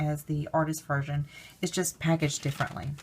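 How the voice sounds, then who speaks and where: A woman's very deep, low voice sounds somewhat breathy, with a dark, mellow tone. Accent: Alabama. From US South, Alabama. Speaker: crafts vlogger. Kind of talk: product haul review. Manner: casual, hesitant with fillers.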